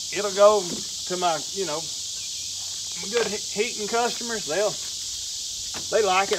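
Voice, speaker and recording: Noticeable noise sits under a man's speech, which shows ordinary pitch variation. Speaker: firewood seller. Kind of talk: casual vlog chat. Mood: relaxed, easygoing. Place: forest. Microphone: camera far.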